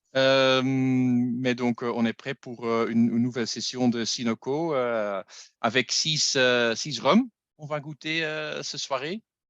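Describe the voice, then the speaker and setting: A man of medium pitch at a very slow pace, fairly even in intonation, with a dry, close sound and no echo. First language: not French (speaking French). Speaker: masterclass host. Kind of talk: online tasting masterclass. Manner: halting.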